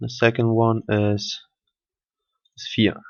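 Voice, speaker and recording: A man with a German accent speaks at a medium pitch in a flat, monotone delivery. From Germany. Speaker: software tutorial maker. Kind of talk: tutorial. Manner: halting, with fillers.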